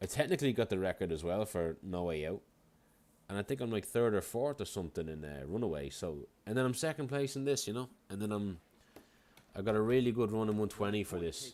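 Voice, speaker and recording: A man's fairly low voice in a strong Irish accent, very fast, with lively intonation, on a very clean recording with a silent background. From Ireland. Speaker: video game speedrunner and streamer. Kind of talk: casual livestream chat.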